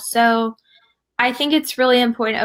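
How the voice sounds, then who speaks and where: With a Southern US accent, a woman speaks at a moderate pace in monotone, flat intonation and a fairly high pitch. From US South. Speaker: fitness community founder. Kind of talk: casual chat.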